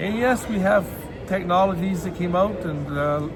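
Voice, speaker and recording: A man at a high pitch, moderate pace and ordinary pitch variation, with audible room echo and noticeable background noise. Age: 60s. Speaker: vlogger. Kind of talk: casual vlog monologue. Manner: halting, many repeated words.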